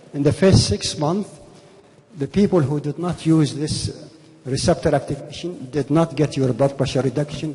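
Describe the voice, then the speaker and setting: At a moderate pace, the speech carries noticeable background noise. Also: man. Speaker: physician. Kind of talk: conference lecture.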